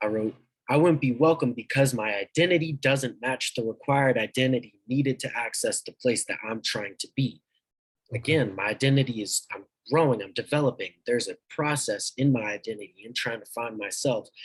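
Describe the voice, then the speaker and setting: Somewhat breathy speech at a fairly quick pace, ordinary pitch variation, and a dry, close sound with no echo. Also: man, medium pitch for a man. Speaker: young army reservist. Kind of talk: conversational reflection. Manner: halting.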